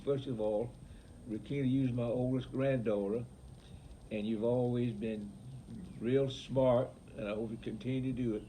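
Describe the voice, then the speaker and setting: A man with an Alabama accent speaks at a moderate pace in a dark, mellow tone with monotone, flat intonation. Audible room echo surrounds his voice. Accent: rural Southern US (Alabama). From US South, rural Alabama (Bullock County). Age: 80s+. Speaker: grandfather, retired farmer. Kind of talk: casual family interview, storytelling. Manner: halting, self-correcting.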